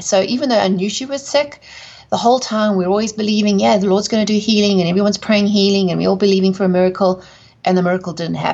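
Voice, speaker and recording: Very fast speech from a woman, medium in pitch and with ordinary pitch variation. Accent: South African. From South Africa. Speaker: author and speaker. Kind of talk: interview testimony.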